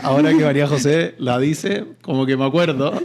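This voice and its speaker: This is a man speaking. He talks with a Chilean accent. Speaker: real estate company CEO, engineer. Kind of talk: podcast interview. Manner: hesitant, with fillers.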